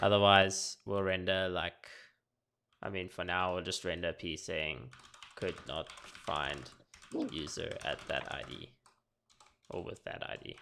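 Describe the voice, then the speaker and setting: A man with a very deep, low pitch and vocal fry speaks at a fairly slow pace, with ordinary pitch variation and long, frequent pauses. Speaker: software developer streaming coding. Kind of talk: live coding tutorial. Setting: live stream. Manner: casual, hesitant with many fillers; mumbling.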